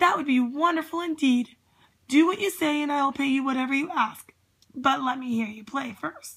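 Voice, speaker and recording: A woman puts on a character voice, raspy and high-pitched. She talks at a moderate pace. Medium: read story.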